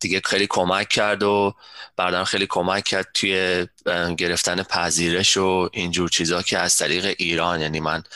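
At a moderate pace, the voice holds a monotone, flat intonation and very even loudness, with a dry, close sound with no echo on a very clean recording with a silent background. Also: man, very deep, low pitch for a man. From Iran. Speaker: software systems architect. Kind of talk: interview.

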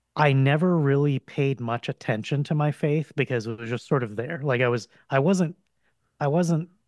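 A man's fairly high voice with an American accent, a normal speaking voice at a moderate pace with ordinary pitch variation, on a very clean recording with a silent background and a dry, close sound with no echo. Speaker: guest. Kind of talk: casual conversation.

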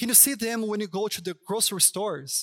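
A man with a Brazilian Portuguese accent talks at a high pitch on a very clean recording with a silent background. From Brazil, Sao Paulo. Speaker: pastor. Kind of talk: sermon. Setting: church stage.

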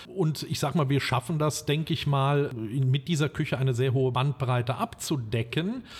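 A man's fairly high, somewhat breathy voice at a moderate pace, with ordinary pitch variation, very even loudness, and hardly any pauses. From western Germany, Limburg an der Lahn region (Hesse). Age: 50s. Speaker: restaurant owner. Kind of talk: interview. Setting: outdoors in a park.

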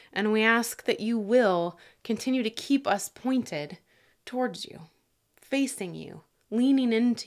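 In a plain, everyday voice, a woman speaks at a fairly high pitch and fairly slow pace with ordinary pitch variation, on a very clean recording with a silent background. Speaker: pastor. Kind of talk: devotional talk with prayer; fervent, intimate prayer addressed to God. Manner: earnest, fervent, pleading, heartfelt.

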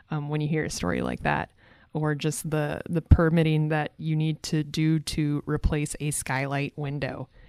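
Sound comes through very clean and close, with a fully silent background and a dry quality free of echo. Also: woman. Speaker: government affairs coordinator. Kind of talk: casual interview.

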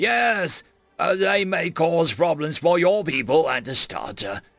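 A man's raspy, put-on character voice, high-pitched for a man, at a fairly slow pace with faint music in the background. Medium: read story. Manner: polite, cheerful.

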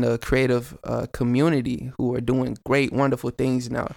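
In a Southern US accent, a man speaks on a very clean recording with a silent background. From Chattanooga, Tennessee. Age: 20s. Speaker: rapper. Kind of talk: casual interview chat.

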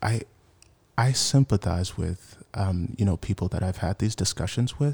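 On a very clean, dry, close recording with a silent background and no echo, a man with a Mid-Atlantic American accent talks in a fairly low, somewhat breathy voice with ordinary pitch variation. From Washington, D.C. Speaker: church member, race cohort participant. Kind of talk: casual chat.

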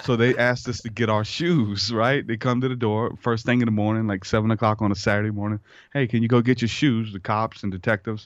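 At a very fast pace, a man with a Louisiana accent talks in a medium pitch with fairly even intonation against a quiet background. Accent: US Southern (Louisiana). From southeastern Louisiana. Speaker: hip-hop artist and podcaster. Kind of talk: interview conversation.

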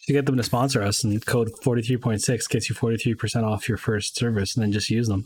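In a very clean recording with a silent background, a man with a Canadian accent and a medium pitch speaks very fast with hardly any pauses, his somewhat breathy voice held at very even loudness in a monotone, flat intonation. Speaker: sports podcast co-host. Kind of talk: casual chat.

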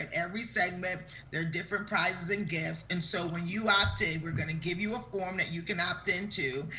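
Enthusiastic, warm delivery at a fairly quick pace amid noticeable background noise. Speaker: show host interviewing guest. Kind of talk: casual friendly interview.

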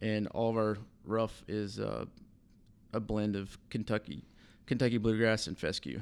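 The speech comes at a fairly slow pace with a Southern US accent. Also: man. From US South, southern Alabama. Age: 30s. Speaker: assistant golf course superintendent. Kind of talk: casual interview.

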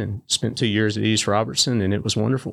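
A man speaks in a medium pitch with a Southern US accent and fairly even intonation. The recording is very clean, with a silent background. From Tennessee. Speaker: state high school sports association director. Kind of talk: casual interview.

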